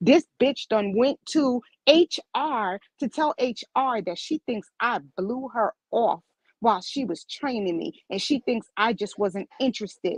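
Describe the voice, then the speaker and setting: A woman with a strong New York accent speaks at a fairly slow pace in a high pitch, her tone animated and intonation lively, in a dry, close recording with no echo. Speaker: medical office worker. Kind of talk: casual chat. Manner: abrupt.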